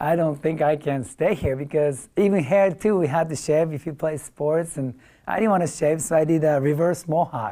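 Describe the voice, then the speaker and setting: A man with a fairly high voice speaks at a moderate pace with ordinary pitch variation over noticeable background noise. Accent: Japanese. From Japan, moved to US at 15. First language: Japanese. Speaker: sushi chef and restaurant owner. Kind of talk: talk to an audience.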